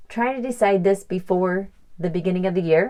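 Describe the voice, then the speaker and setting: Lively intonation marks a woman's dark, mellow tone. She keeps a medium pitch and a moderate pace. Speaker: life coach. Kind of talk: casual monologue to listeners.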